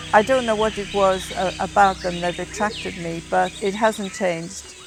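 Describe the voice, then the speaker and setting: A woman speaks at a medium pitch with a northern English accent. Her intonation stays fairly even, and music plays in the background. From northern England, County Durham. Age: 70s. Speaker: ornithologist. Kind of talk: documentary interview. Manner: halting.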